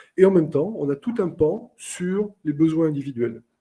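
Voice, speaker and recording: A man with a fairly high pitch and lively intonation, his dark, mellow tone somewhat breathy. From southern France, Carcassonne. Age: 50s. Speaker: airline captain and trainer. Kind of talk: webinar interview. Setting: online webinar.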